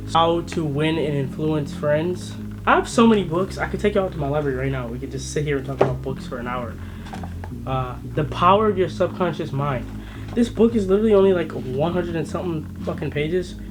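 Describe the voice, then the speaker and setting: Over noticeable background noise and audible room echo, a man talks at a fairly quick pace in an animated tone. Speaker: vlogger. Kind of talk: casual vlog talk to camera. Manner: stutter.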